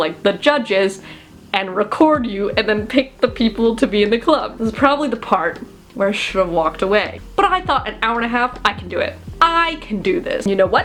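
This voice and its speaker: Over noticeable background noise, a woman speaks at a fairly quick pace and a fairly high pitch. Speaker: college student YouTuber. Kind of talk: casual story time talk to camera. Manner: animated, dramatic, anxious retelling.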